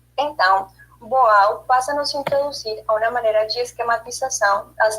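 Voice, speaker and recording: With a non-native accent, a woman speaks in a fairly high pitch. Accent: foreign accent in Portuguese. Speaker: theatre study group member. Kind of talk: study group presentation. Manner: halting.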